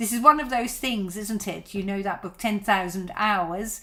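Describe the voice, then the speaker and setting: This woman's voice has a bright, sharp tone at a medium pitch. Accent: Dutch. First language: Dutch. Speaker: violin teacher. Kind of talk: live stream Q&A. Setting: live broadcast. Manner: halting, many fillers.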